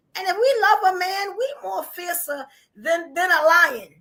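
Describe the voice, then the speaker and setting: A woman's animated, bright, sharp voice in a New York accent, extremely high in pitch, with very wide pitch swings. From New York, Brooklyn. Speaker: podcast host. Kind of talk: live podcast chat.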